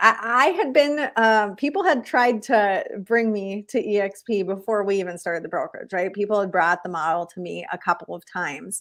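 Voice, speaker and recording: A woman talks at a moderate pace with a Minnesotan accent. The recording is very clean, with a silent background. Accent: Minnesotan, noticeable. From Minnesota, rural small town. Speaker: real estate broker. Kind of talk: interview conversation.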